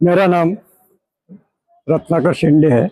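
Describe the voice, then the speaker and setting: A man speaks in a high pitch with a dark, mellow tone. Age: 80s+. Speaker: local elder, Buddhist community founder. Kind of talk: interview, personal recollection.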